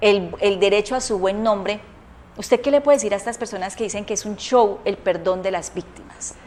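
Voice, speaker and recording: A woman speaking at a fairly quick pace with fairly even intonation, over noticeable background noise. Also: medium pitch for a woman. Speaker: talk show host. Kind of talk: political commentary; interview.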